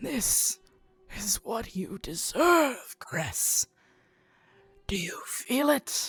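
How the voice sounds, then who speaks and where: In a put-on character voice, a raspy, menacing whisper creeps along at a very slow pace with long, frequent pauses as faint music plays in the background. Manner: whispering, menacing.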